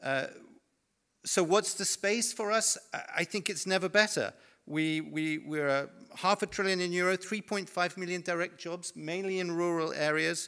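With a British accent, a man speaks at a high pitch and moderate pace, his tone bright and sharp, with ordinary pitch variation against a quiet background. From Britain. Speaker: forest industry representative; panelist. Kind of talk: panel discussion. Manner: animated. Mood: confident, persuasive. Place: home room.

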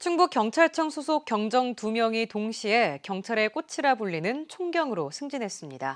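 At a fairly slow pace, a woman speaks with a fairly high pitch and very wide pitch swings in a very clean recording with a silent background. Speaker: news anchor. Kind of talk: news reading. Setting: studio. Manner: formal.

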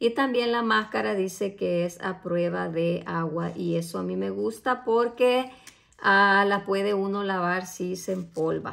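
A woman speaks at a fairly slow pace with lively intonation against a quiet background. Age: 40s. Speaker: beauty product reviewer. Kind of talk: product unboxing review. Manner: casual with frequent hesitations. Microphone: phone near.

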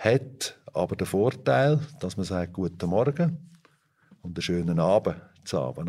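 At a fairly slow pace, a man speaks with lively intonation, a fairly low pitch and a dark, mellow tone. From Switzerland, Fricktal (Aargau). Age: 50s. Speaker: organic dairy farmer. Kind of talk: interview.

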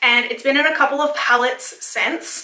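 The speech moves at a moderate pace, and the room's echo can be heard around it. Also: woman. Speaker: beauty vlogger. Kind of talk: casual vlog chat. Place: home room.

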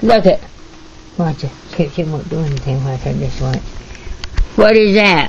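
With audible room echo, a woman speaks at a moderate pace in a low pitch with lively intonation.

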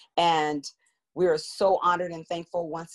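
Against a quiet background, a woman talks at a fairly low pitch. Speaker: nonprofit organizer and event host; event host. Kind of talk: moderating an online community panel. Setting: video call. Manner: formal. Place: home room. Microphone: video call.

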